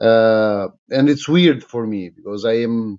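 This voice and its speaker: A man with an Albanian accent. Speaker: politician. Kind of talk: live-stream monologue. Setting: live social media stream. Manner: halting, many fillers.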